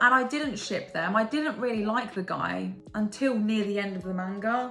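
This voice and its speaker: With an English accent, a woman speaks in an animated tone at a fairly high pitch with ordinary pitch variation, over noticeable background noise. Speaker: book and manga reviewer. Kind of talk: casual monologue, tier-ranking video. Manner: animated, excitable.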